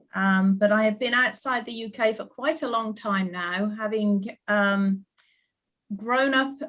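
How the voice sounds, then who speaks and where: A woman speaks with a British accent. Her pitch is medium and her pace fairly slow. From United Kingdom. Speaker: ballet school principal. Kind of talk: panel discussion.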